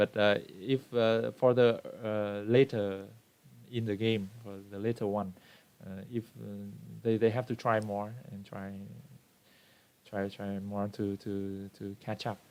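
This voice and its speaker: A man with a Vietnamese accent speaks in a monotone, flat intonation. He leaves long, frequent pauses, and his loudness swings widely. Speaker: book club member. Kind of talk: book discussion in online meeting. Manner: halting, many fillers.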